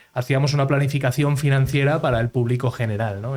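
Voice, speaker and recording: At a fairly quick pace, a man speaks in a somewhat breathy voice of medium pitch. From Madrid, Spain (raised partly in Miami, USA from 9 to 24). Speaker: entrepreneur, founder of a real estate crowdfunding platform. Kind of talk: podcast interview. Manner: many fillers and repetitions.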